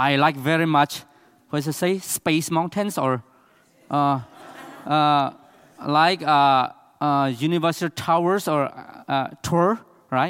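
Speaking at a very slow pace with long, frequent pauses, a man with a Burmese accent keeps a fairly even intonation and a fairly high pitch, on a very clean recording with a silent background. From Myanmar, Chin State. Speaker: missionary pastor. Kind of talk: church presentation. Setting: church with audience. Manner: halting.

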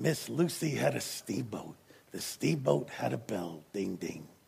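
A put-on character voice from a man, raspy and very deep, with very wide pitch swings at a fairly slow pace. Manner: profound, irritated.

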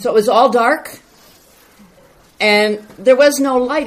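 Over noticeable background noise, a loud woman speaks at a very slow pace in a high pitch with ordinary pitch variation. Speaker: church member reporting on mission trip. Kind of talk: testimony.

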